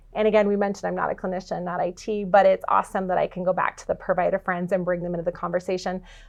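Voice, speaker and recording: The speech races along at a very fast pace with hardly any pauses. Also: woman, medium pitch for a woman. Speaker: healthcare industry researcher. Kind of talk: podcast interview. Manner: animated.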